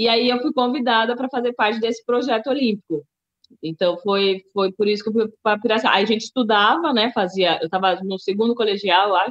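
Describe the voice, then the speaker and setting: Here a woman speaks at a fairly quick pace. Her fairly high pitch shows ordinary variation. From Brazil, São Paulo city. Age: 30s. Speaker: table tennis athlete, musician and writer. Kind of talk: interview.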